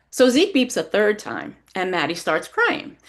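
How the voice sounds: What we hear is a natural reading voice.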